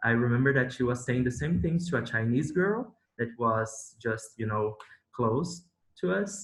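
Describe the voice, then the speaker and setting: A man in a Brazilian Portuguese accent, medium in pitch, with lively intonation. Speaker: former visiting PhD student. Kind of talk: casual chat. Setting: video call. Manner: animated.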